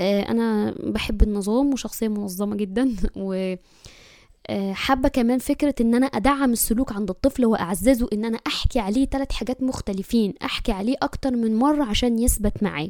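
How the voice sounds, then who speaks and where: A woman's dark, mellow voice sits fairly high in pitch. She speaks at a moderate pace with ordinary pitch variation. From Egypt. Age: 30s. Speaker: podcast host, mother. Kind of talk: casual monologue.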